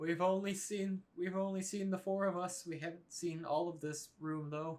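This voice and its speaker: A man in a put-on character voice with a high pitch, at a moderate pace. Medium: actual play.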